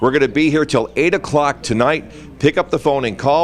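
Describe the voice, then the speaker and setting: A man rattles along very fast while noticeable noise sounds in the background. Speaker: TV news anchor, radio/TV host and commercial voice over. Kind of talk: TV news telethon host read.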